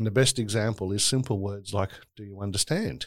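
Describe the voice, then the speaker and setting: The recording is very clean, with a silent background. A man speaks at a moderate pace. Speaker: human rights advocate. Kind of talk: interview conversation.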